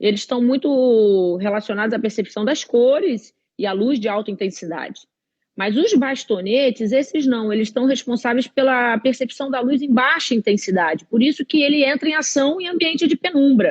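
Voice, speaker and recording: A woman's high voice moves with lively intonation. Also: moderate pace. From Rio de Janeiro, Brazil. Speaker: eye doctor. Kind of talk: live-stream health talk. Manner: halting.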